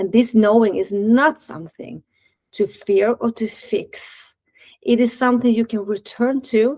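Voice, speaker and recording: Heard as an ordinary speaking voice, a woman talks at a fairly slow pace with a fairly high pitch and ordinary pitch variation in a dry, close sound with no echo. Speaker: dating and relationship coach, podcast host. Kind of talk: reflective podcast monologue, guided integration. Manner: gentle, slow and calming in the guided part.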